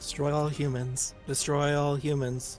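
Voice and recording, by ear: A man does a robotic, put-on character voice, fairly high and monotone with flat intonation. He keeps a moderate pace over clear background music.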